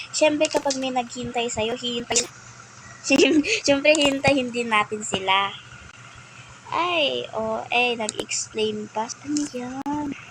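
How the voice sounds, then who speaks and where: With noticeable background noise behind it, the talking unfolds very slowly. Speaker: gaming streamer. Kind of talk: gameplay commentary. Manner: animated. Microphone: quiet voice.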